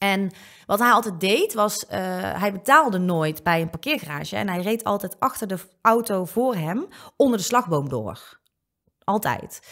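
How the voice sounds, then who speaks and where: Lively intonation from a woman at a moderate pace against a quiet background. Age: 20s. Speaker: online comedian and presenter; online comedian, presenter. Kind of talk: casual chat. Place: studio. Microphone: studio mic.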